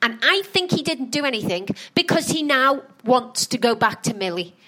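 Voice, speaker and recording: A woman with a high pitch makes very wide pitch swings, with noticeable background noise behind her. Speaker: podcast host. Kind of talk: casual chat reviewing a reality show.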